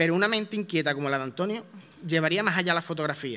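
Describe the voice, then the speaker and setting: A man with a fairly high pitch and a bright, sharp tone speaks very fast with ordinary pitch variation. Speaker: presenter introducing the proclaimer. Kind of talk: formal introduction at a ceremony. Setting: theatre stage with audience. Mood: solemn, devotional. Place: stage. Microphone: podium.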